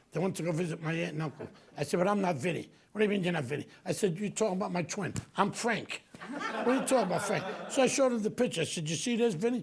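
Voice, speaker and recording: Over noticeable background noise, a man with an American accent talks very fast in a high voice with lively intonation. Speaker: actor and storyteller. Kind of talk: live comedic storytelling to an audience. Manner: casual, conversational.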